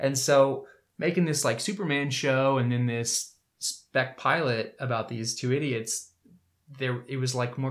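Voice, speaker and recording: A man's unremarkable speaking voice, medium in pitch, with an American accent at a fairly slow pace. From US South, Winter Park, Florida. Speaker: actor and filmmaker. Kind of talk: casual chat.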